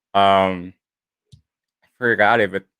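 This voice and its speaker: A man's fairly low-pitched voice, dry and close with no echo. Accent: American. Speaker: livestream co-host. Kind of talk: casual livestream chat.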